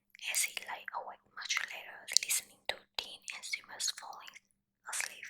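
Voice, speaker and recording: A woman is whispering. Her pace is fairly slow. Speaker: ASMR content creator. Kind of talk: softly whispered ASMR bedtime story reading. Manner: whispered, soft.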